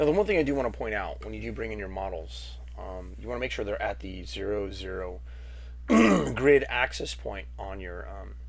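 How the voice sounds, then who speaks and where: A man speaks at a moderate pace with big swings in loudness, and audible room echo is present. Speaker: 3D art instructor. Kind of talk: tutorial. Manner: casual.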